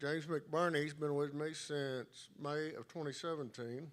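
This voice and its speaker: In a Texan accent, a man speaks at a fairly slow pace with fairly high pitch and monotone, flat intonation. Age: 60s. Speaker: auto shop owner, award recipient. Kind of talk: acceptance speech.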